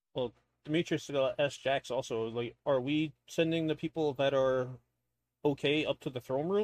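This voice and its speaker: A man with a fairly high pitch talks at a moderate pace in a normal speaking voice, his pitch variation ordinary. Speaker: tabletop game player. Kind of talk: casual roleplaying chat.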